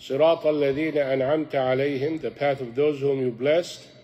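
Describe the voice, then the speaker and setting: A man speaks in a monotone with flat intonation and an Arabic accent. Music plays in the background. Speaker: imam teaching a youth class. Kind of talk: religious lecture. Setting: mosque class with audience.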